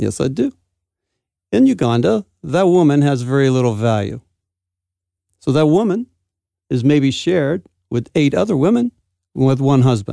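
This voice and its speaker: A man's fairly high voice with an American accent, dark and mellow in tone, at a moderate pace with lively intonation, very even loudness and long, frequent pauses, in a dry, close sound with no echo. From United States. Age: 50s. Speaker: pastor and businessman. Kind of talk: radio interview. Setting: studio.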